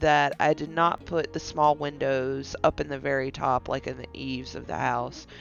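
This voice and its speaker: Music plays in the background while the speech keeps a moderate pace. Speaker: gaming YouTuber. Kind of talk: gameplay commentary. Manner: casual, some stammering.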